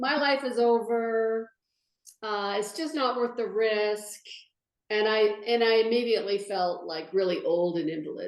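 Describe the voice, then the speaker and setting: Her pitch is fairly high with ordinary variation. The woman speaks at a moderate pace. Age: 60s. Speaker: patient sharing her story. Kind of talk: interview testimony. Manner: halting.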